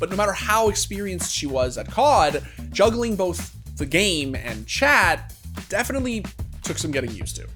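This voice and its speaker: At a fairly quick pace, the voice carries on with music behind it. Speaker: documentary narrator. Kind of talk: documentary narration.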